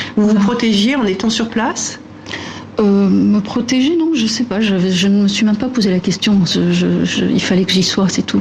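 Noticeable background noise sits behind a woman speaking at a fairly slow pace in a medium pitch. Her loudness stays very even, and her pitch varies in an ordinary way. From Lebanon. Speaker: architect. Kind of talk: interview. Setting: studio. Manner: halting.

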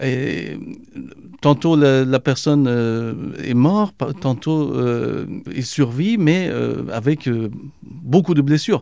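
A man speaks at a very slow pace with long, frequent pauses. His voice is medium in pitch, with a dark, mellow tone and ordinary pitch variation. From Iran. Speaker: journalist. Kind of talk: interview. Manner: hesitant, with repetitions.

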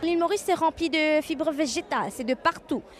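This woman talks at an average speed. Clearly audible noise sits behind her. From Mauritius. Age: young. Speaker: environmental engineering researcher. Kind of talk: interview.

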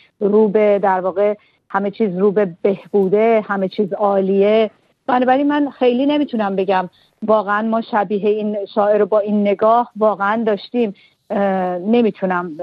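A woman speaks in a plain, everyday voice at a medium pitch and a moderate pace. Her loudness stays very even, and her intonation is fairly even. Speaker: literary translator and poet. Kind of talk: radio interview.

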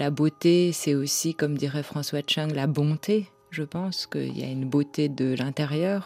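Against noticeable background noise, a woman with a very deep, low pitch speaks at a fairly slow pace with fairly even intonation, the sound dry and close with no echo. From France. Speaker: novelist and editor. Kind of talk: interview.

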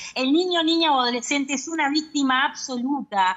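A woman's high-pitched voice at a moderate pace, with lively intonation. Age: 50s. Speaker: abuse survivor advocate. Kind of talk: interview.

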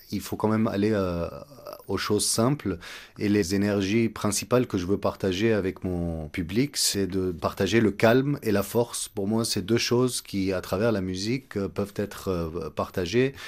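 A normal speaking voice with ordinary pitch variation and a fairly slow pace, on a very clean recording with a silent background. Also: man, fairly low pitch for a man. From Egypt. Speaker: composer and oud player. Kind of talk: radio interview.

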